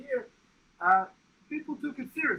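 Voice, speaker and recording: A man with a non-native accent speaks in a raised, projected voice. His tone is bright and sharp, and his pitch swings very widely. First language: not English. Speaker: research psychologist, meeting organizer. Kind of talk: conference presentation. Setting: meeting room, livestreamed. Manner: hesitant, many fillers.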